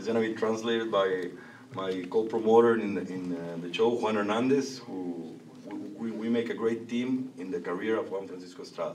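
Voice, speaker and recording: Someone with a Spanish accent speaks at a fairly quick pace with fairly even intonation and audible room echo. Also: man. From Mexico. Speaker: boxing promoter. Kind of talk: press conference. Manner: halting.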